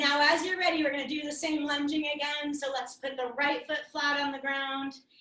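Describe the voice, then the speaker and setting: Her raised, projected voice is high-pitched, bright and sharp, running at a fairly quick pace in a monotone, flat intonation. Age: 50s. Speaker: yoga teacher. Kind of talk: guided yoga class. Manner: loud; casual.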